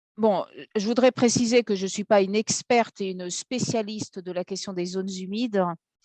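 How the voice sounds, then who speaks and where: Recorded dry and close with no echo, a woman speaks at a medium pitch in a dark, mellow tone with fairly even intonation. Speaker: law academic, environmental and urban planning law. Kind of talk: seminar lecture via interpreter. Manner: fast.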